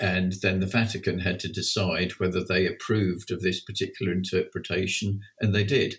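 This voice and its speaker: A man's somewhat breathy voice sits at a very deep, low pitch with monotone, flat intonation. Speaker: passion flower grower and breeder. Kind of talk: casual interview.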